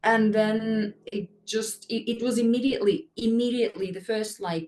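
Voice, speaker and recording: Somewhat breathy, a woman speaks with fairly even intonation. Her pitch is fairly high. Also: moderate pace. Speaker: English teacher. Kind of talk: casual interview.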